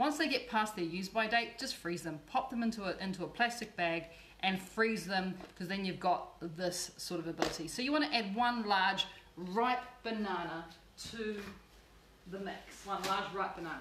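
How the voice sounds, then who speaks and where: In an Australian accent, the warm-toned voice keeps a moderate pace and ordinary pitch variation, with noticeable background noise and audible room echo. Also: woman, medium pitch for a woman. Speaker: cooking show host and cookbook author. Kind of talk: cooking tutorial. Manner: chatty and warm.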